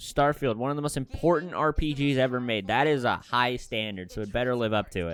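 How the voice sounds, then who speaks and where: A man at medium pitch, fairly quick with hardly any pauses and ordinary pitch variation, with music in the background. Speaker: gaming YouTuber reacting to showcase. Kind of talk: casual live reaction commentary. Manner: animated.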